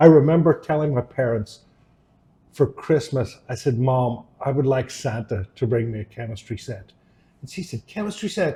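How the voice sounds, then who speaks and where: A dark, mellow voice with a Northern Irish accent, somewhat breathy, at a moderate pace. The intonation is lively and the loudness swings widely. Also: man, medium pitch for a man. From Northern Ireland, Downpatrick. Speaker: electrochemist. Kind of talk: interview.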